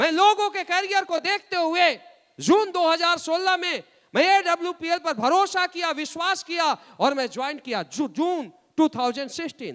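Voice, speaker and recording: An animated man speaks in a bright, sharp tone at an extremely high pitch. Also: ordinary pitch variation. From Bihar, India. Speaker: motivational speaker, network marketing leader. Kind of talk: motivational speech.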